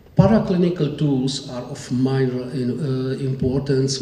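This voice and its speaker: Over noticeable background noise and audible room echo, a man talks with a fairly high pitch. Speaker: neurologist, conference speaker. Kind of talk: conference lecture. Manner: halting.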